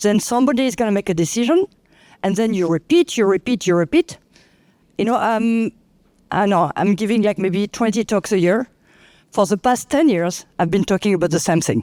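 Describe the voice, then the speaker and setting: A woman with a French accent and a dark, mellow tone speaks at a fairly quick pace with long, frequent pauses and very even loudness. The recording is very clean with a silent background and a dry, close sound with no echo. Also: medium pitch for a woman, lively intonation. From France. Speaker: clinical researcher. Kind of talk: panel discussion.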